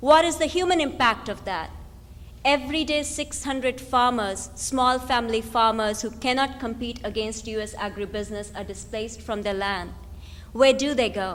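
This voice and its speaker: A woman's fairly high voice with vocal fry, ordinary pitch variation and a moderate pace, in audible room echo. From India. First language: not English (Indian language). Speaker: activist, think tank director. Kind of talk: lecture. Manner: animated.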